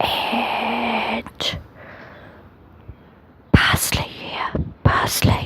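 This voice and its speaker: Whispering amid noticeable background noise. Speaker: home gardener and vlogger. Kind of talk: casual talk to camera, garden tour. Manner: quiet, whispery, soft-spoken.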